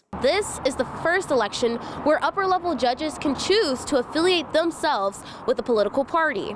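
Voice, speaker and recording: A woman's high-pitched voice with very wide pitch swings and very even loudness, at a fairly quick pace over noticeable background noise. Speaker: news reporter. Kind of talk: TV news report.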